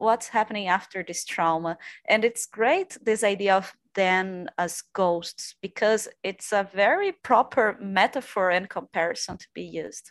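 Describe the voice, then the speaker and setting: With a Portuguese accent, the speaker talks at a moderate pace over a quiet background, the sound dry and close with no echo. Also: woman. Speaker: PhD candidate in literature. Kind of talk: academic discussion.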